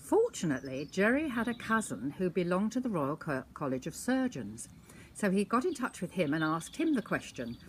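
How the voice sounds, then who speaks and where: A woman talks at a fairly quick pace with vocal fry and very wide pitch swings. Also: medium pitch for a woman. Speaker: storyteller grandmother. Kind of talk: anecdote monologue.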